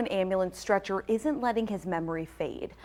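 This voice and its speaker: With an American accent, the speaker talks very fast with lively intonation. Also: woman. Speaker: morning news anchor. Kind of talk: TV news anchor read. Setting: TV studio.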